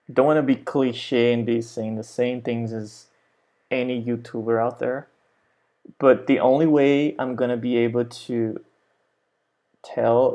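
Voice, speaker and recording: A man's fairly slow, monotone delivery with flat intonation, a dark, mellow tone and a Brazilian accent. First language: Portuguese. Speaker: language teacher. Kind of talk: tutorial. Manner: casual, unscripted.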